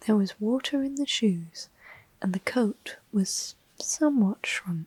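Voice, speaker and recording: Soft-spoken, the voice moves along at a fairly slow pace. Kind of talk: ASMR storybook reading.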